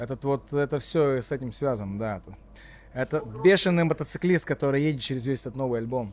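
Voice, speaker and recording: A man with a Latvian accent talks at a fairly quick pace in a medium pitch, with ordinary pitch variation. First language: Latvian (speaking Russian). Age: 40s. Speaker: rapper. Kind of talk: casual chat. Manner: halting.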